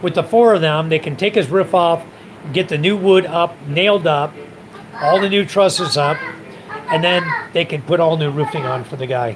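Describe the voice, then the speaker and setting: Against noticeable background noise, a man with an American accent and a high pitch speaks at a moderate pace with ordinary pitch variation. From US, California. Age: 60s. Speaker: expat livestreamer. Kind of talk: casual livestream chat.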